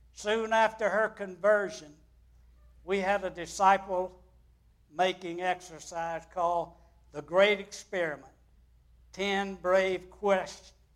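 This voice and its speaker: A man in a high pitch, at a very slow pace. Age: 80s+. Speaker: guest preacher. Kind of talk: sermon. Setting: church.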